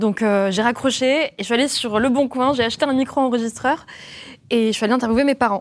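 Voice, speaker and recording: Speaking fairly quickly, a woman holds a high pitch and fairly even intonation. Her loudness stays very even throughout. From France. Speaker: podcaster. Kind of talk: panel discussion.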